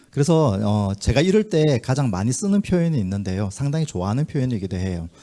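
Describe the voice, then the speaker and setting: Very wide pitch swings in a Busan accent, dark and mellow in tone, on a very clean recording with a silent background. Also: man. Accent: Gyeongsang (Busan) intonation. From Busan, South Korea. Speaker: community organization leader, forum presenter. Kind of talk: conference presentation. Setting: forum hall with audience. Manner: filler-heavy, conversational.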